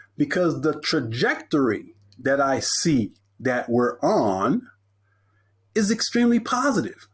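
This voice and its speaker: Over a silent background in a very clean recording, a man with an American accent talks fairly slowly in a fairly high voice, with vocal fry, very wide pitch swings, very even loudness, and long, frequent pauses. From Texas, Corpus Christi. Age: 60s. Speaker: motivational speaker. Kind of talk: podcast interview.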